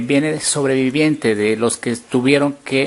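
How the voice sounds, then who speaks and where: Over music in the background, a man speaks at a medium pitch and a fairly slow pace. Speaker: journalist. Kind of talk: local TV interview, presenter speaking.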